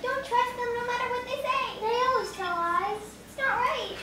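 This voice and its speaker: A put-on character voice, squeaky and extremely high in pitch, speaks at a moderate pace. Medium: stage play. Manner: polite, eager.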